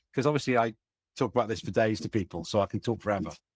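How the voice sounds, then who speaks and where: A man talks with a British accent. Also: dry, close sound with no echo. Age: 60s. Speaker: AI consultant and webinar speaker. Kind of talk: webinar presentation.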